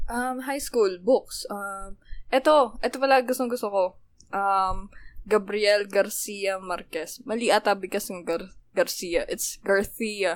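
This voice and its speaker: In a very clean recording with a silent background, a woman talks at a fairly slow pace in a normal speaking voice, with medium pitch and ordinary pitch variation. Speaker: podcast co-host. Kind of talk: casual chat.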